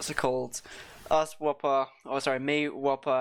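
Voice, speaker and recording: A man talks at a fairly high pitch. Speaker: esports caster. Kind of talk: casual chat. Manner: halting.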